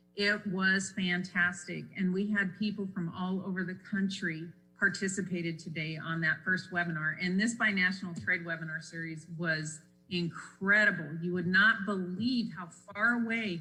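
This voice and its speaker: Music plays in the background and the room echo is audible. A woman speaks at a moderate pace with medium pitch and fairly even intonation. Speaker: economic development presenter. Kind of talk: council presentation.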